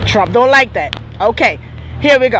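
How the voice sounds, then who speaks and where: Noticeable background noise accompanies a woman who speaks fairly slowly at a high pitch. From Jamaica. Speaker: vlogger. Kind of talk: casual live-stream storytelling.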